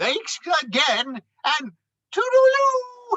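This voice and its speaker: The put-on character voice sits at an extremely high pitch and swings very widely in pitch. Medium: read story. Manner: polite, hesitant.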